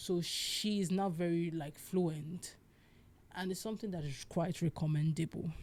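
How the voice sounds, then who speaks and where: The voice is somewhat breathy. It moves at a moderate pace with fairly even intonation. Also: woman, fairly low pitch for a woman. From Nigeria, Igbo. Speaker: podcast host. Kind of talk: solo podcast monologue. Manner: casual, halting.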